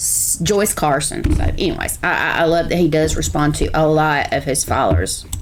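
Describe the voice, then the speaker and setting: A woman with a Southern US accent is heard over noticeable background noise and audible room echo. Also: moderate pace, hardly any pauses. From South Carolina. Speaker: reaction video host. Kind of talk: reaction commentary.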